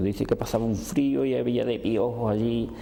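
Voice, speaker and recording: A man talks at a moderate pace and medium pitch, varying it in an ordinary way, while noticeable background noise and audible room echo surround him. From Andalusia, Seville province. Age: 70s. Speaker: oral history interviewee. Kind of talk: testimony. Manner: halting.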